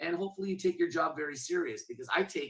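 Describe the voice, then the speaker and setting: Talking at a very fast pace, a man sounds energetic and confident, with a bright, sharp tone and ordinary pitch variation. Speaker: benefit auctioneer. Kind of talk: interview answer. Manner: energetic, confident.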